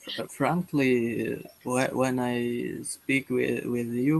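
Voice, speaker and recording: A man speaks at a very slow pace. Noticeable background noise is audible behind him. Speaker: language student. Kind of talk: casual chat. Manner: monotone, halting.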